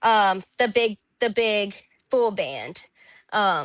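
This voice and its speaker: Against a quiet background, a woman with a Louisiana accent speaks in a bright, sharp tone. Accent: Louisiana Southern US. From Louisiana (Zachary, near Baton Rouge). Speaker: country singer. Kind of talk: interview conversation. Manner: casual, filler-heavy.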